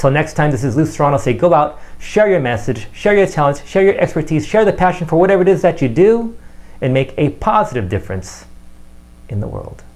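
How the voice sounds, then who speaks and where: Fairly quick and fairly high-pitched, a man speaks with vocal fry and very wide pitch swings. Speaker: marketing coach and magician. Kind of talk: video tips monologue. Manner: fast.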